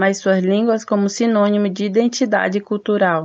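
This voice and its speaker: Here is a plain, everyday voice from a woman at medium pitch. She keeps a moderate pace and fairly even intonation. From Benjamin Constant, Amazonas, Brazil. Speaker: student podcast host. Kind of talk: scripted narration.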